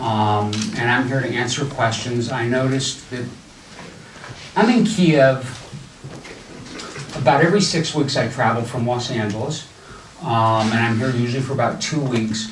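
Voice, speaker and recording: A man with a General American accent speaks at a moderate pace in a medium pitch, with ordinary pitch variation and long, frequent pauses. Audible room echo and noticeable background noise surround his voice. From US Midwest, Ohio. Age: old. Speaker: entrepreneur and event speaker. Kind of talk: talk to a live audience. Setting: stage with audience. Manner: casual.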